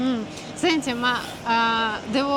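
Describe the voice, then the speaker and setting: A woman at high pitch with ordinary pitch variation and a very slow pace, amid audible room echo and noticeable background noise. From Russia. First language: Russian (speaking Italian). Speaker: interviewer. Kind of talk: casual chat. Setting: restaurant.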